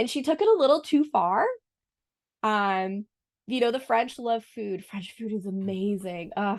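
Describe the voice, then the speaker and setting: In a Boston accent, a woman speaks fairly slowly at a fairly high pitch with lively intonation. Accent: Boston American English. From US Northeast, Boston. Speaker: French teacher. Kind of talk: casual podcast interview.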